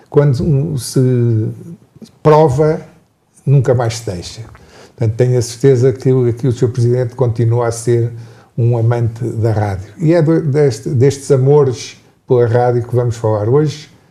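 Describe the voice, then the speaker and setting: With a dark, mellow tone and a somewhat breathy quality, a man speaks at a medium pitch and a fairly slow pace, his intonation fairly even, with long, frequent pauses and audible room echo. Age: 70s. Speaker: journalist, moderator. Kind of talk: panel conversation. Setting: town hall.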